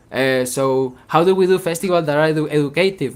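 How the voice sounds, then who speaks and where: Someone speaks at a moderate pace with a Venezuelan accent. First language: Spanish. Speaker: independent musician. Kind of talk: workshop talk. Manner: halting, repeats words.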